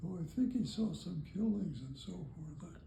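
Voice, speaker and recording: Quietly and at a fairly slow pace, a man with a high pitch and a dark, mellow tone speaks with lively intonation. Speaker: army veteran. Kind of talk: interview answer. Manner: quiet, hard to hear.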